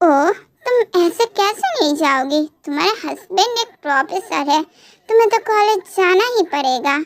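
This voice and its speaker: Putting on a character voice, a woman talks at a fairly slow pace with an extremely high pitch and lively intonation. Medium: read story.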